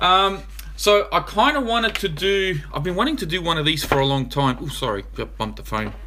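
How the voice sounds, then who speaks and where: Over noticeable background noise, a man speaks at a fairly quick pace with an Australian accent. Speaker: RC hobby YouTuber. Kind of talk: live stream Q&A. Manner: fast.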